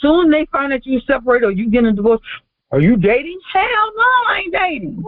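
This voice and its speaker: At a fairly quick pace, a woman speaks in a high pitch with an animated tone and very wide pitch swings. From US South. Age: 50s. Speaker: author. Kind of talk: interview.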